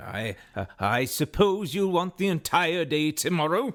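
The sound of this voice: Using a put-on character voice, a man speaks at a fairly slow pace in a fairly high pitch with big pitch swings and a fairly bright tone, on a very clean recording with a silent background.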